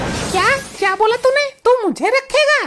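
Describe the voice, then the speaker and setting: Faint music plays as a woman uses a cartoonish character voice, extremely high-pitched with ordinary pitch variation. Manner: sharp, scolding.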